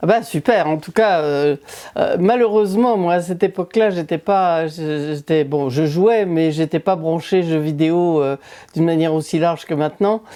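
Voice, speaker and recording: With a dark, mellow tone and a fairly low pitch, a woman speaks at a moderate pace. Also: ordinary pitch variation. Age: 70s. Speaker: senior gamer presenter. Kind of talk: interview.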